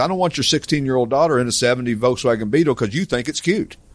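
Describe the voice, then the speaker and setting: A man with a Tennessee accent talks at a very fast pace over a quiet background. His pitch swings very widely. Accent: Southern US (Tennessee). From East Tennessee. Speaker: classic car dealership owner and podcast host. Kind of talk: casual chat. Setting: studio with live audience.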